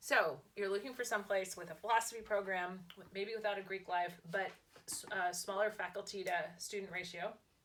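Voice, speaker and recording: The delivery is fairly quick, with fairly even intonation. Loudness rises and falls in big swings. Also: woman, medium pitch for a woman. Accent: Californian. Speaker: lifestyle vlogger and author. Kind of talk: casual chat.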